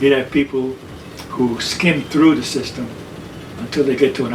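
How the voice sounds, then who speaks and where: Man with an American accent, medium pitch, monotone, flat intonation and a moderate pace, over noticeable background noise. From New York City. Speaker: army veteran, mental health worker, artist. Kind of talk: oral history interview answer.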